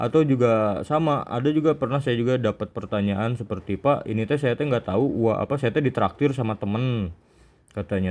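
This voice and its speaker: A man speaks with a Sundanese accent. His pace is fairly quick. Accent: Sundanese-accented Indonesian. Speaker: Islamic teacher. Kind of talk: religious study session.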